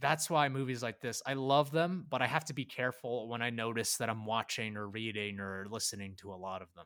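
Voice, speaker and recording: The recording is very clean with a silent background, and a man with an American accent speaks at a fairly quick pace with big swings in loudness. He has a plain, everyday voice at medium pitch with ordinary pitch variation. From Filipino American. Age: 20s. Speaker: podcast co-host. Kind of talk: casual chat.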